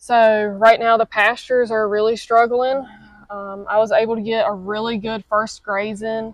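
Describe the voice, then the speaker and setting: At a moderate pace, a woman with fairly high pitch speaks in monotone, flat intonation with big swings in loudness. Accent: Southern US. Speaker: cattle farmer. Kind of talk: interview answer.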